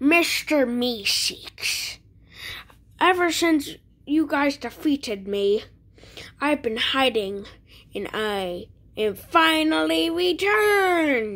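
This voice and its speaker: Using a put-on character voice, a woman talks at a very slow pace with very wide swings in pitch. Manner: boastful, gloating.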